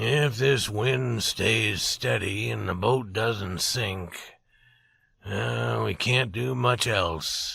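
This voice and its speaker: Someone in a put-on character voice speaks very slowly with a raspy sound. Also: man, medium pitch for a man. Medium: read story. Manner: low, calm.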